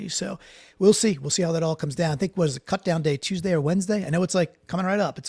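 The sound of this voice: A raspy, put-on character voice with a New York accent rattles along at a very fast pace. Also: man, high pitch for a man.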